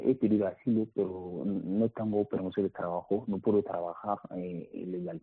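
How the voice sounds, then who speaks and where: Fairly even intonation in a non-native accent. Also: man. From Mali. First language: not Spanish (speaking Spanish). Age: 20s. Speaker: migrant. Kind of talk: interview testimony. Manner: halting, repeats words.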